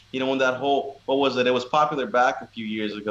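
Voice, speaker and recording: Talking at a very fast pace over noticeable background noise, a man keeps a medium pitch and fairly even intonation. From Arizona, Phoenix East Valley. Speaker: podcast guest, fighter. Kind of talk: casual chat.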